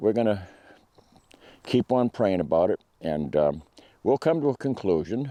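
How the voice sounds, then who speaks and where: This man's voice has a dark, mellow tone and very wide pitch swings, delivered at a moderate pace. The sound is dry and close with no echo, over a quiet background. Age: 70s. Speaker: hunting and firearms video maker. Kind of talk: casual talk to camera. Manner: halting, many fillers and repeats.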